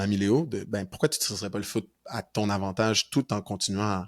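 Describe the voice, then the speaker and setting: A man with a normal speaking voice talks at a fairly quick pace and fairly low pitch with fairly even intonation, in a very clean, dry, close recording with no echo and a silent background. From Quebec, North Shore of Montreal. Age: 20s. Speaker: university football player. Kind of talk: podcast interview.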